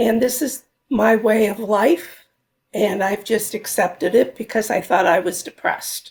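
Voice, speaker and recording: A woman speaks at a fairly slow pace, her voice fairly high and somewhat breathy. Her pitch varies in an ordinary way. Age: 70s. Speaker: retired nurse. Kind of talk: interview testimony.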